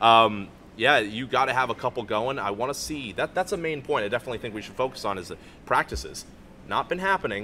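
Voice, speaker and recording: A man speaks very fast in an American accent. His tone is bright and sharp, with light background noise behind him. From Florida. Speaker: hockey show panelist; panelist. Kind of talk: sports preview panel chat. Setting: arena venue. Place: stadium. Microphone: studio mic.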